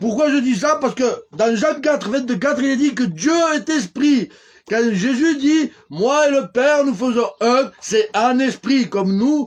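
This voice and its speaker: An extremely high-pitched man's voice at a very slow pace, with ordinary pitch variation. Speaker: religious preacher. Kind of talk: live-streamed sermon. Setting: live stream. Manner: loud; animated.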